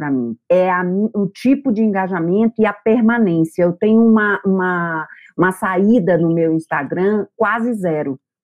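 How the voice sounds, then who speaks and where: A woman with a northeastern Brazilian accent and ordinary pitch variation. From Brazil, Bahia. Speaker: psychotherapist. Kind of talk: testimony.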